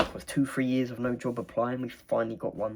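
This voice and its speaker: The pace is fairly quick, with an English accent. The recording is very clean, with a silent background. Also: man. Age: 20s. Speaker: vlogger. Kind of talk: casual monologue. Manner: fast.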